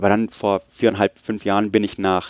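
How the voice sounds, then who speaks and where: Against a quiet background with a dry, close sound and no echo, a man with an English accent speaks at a fairly low pitch and a fairly quick pace. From Munich, Germany and US (Oregon). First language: English (speaking German). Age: 30s. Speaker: podcaster, technical writer. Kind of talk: interview. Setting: podcast festival, on-site recording.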